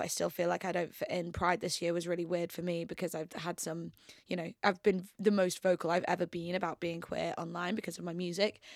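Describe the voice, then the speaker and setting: In a very clean recording with a silent background, a woman with a fairly low pitch speaks fairly quickly in a flat, monotone way. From northern England, York. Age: 20s. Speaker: musician. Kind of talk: casual chat. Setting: studio.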